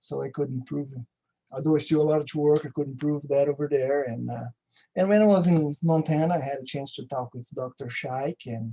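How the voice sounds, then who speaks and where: A man with a somewhat breathy, fairly high voice talks at a fairly quick pace with fairly even intonation. The sound is dry and close, with no echo. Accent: Brazilian Portuguese. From Brazil. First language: Portuguese. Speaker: agricultural research station manager. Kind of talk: conference presentation. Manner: halting, with frequent fillers and restarts.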